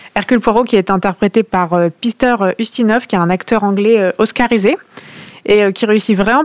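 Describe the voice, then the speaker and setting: A woman's medium-pitched voice moves at a moderate pace, the sound dry and close with no echo, though noticeable background noise is present. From Normandy, France (near Caen). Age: 20s. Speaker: book club panelist, lawyer. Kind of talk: casual chat.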